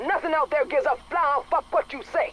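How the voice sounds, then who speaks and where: A gruff, high-pitched put-on character voice moves at a fairly quick pace against clear background noise. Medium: video game. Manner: gruff, profane.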